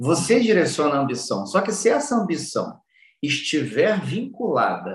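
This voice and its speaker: A man speaks with very wide pitch swings. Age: 40s. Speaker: personal development speaker. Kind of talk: interview.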